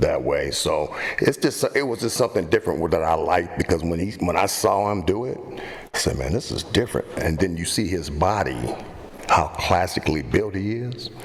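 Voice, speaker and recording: The voice moves with lively intonation at a moderate pace. Noticeable background noise runs underneath. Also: man, fairly low pitch for a man. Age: 60s. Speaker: fitness guest, bodybuilder. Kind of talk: casual chat. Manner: halting, repeats words.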